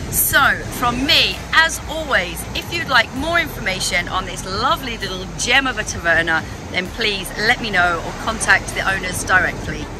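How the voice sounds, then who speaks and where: With music in the background and a dry sound with no echo, the voice moves at a moderate pace through very wide pitch swings. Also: woman. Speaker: travel guide vlogger. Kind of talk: casual vlog chat. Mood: cheerful, enthusiastic. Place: waterside. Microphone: phone near.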